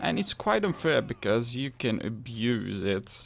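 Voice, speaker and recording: A man speaks with a Flemish accent at a medium pitch. His pitch variation is ordinary. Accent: Flemish Belgian. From Belgium (Flanders). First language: Dutch. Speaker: gaming youtuber. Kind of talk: game review.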